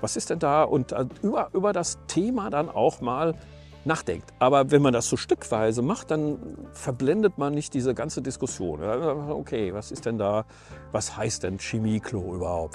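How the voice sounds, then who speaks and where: A man speaks at a moderate pace over faint background music, the sound dry with no echo. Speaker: van life vlogger. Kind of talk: casual vlog chat. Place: open country. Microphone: lapel.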